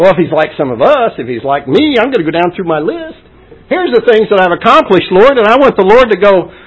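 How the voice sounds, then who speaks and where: A man speaks with very wide pitch swings. There is noticeable background noise. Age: old. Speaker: preacher. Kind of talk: sermon. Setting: church.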